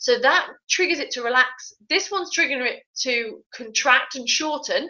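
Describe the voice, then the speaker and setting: Lively intonation and a moderate pace from a woman with a high-pitched voice. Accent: British. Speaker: fitness tutor. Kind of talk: live online tutorial. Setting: live stream.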